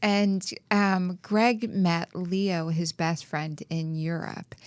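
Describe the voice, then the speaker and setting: A woman speaks with an American accent at a very slow pace. Her pitch is fairly low, and her intonation stays fairly even. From New Orleans, US South. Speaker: podcast host, spiritual coach. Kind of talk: casual chat.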